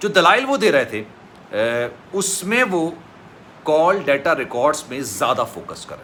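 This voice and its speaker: A man talks at a high pitch, his voice making very wide pitch swings. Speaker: YouTube news commentator. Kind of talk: news commentary. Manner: emotional.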